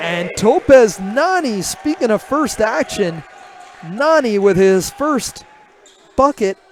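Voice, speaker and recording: A man's extremely high voice with very wide pitch swings, a very slow pace and noticeable background noise. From Newfoundland. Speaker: play-by-play sports commentator. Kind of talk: live commentary. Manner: conversational, relaxed.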